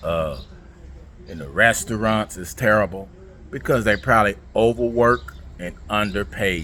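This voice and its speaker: Someone with an American accent speaks at a fairly slow pace, using lively intonation, big swings in loudness, and long, frequent pauses. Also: man, fairly low pitch for a man. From United States. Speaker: travel vlogger. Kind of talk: vlog monologue. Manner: casual, conversational.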